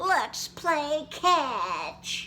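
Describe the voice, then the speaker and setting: Clear background noise sits behind an extremely high, put-on character voice. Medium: read story.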